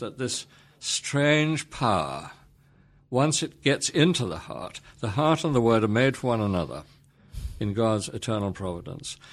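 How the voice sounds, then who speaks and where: This man talks at a fairly slow pace in a medium pitch, his voice swinging very widely in pitch. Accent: English. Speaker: preacher and trainer of Bible teachers. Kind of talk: interview. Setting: office.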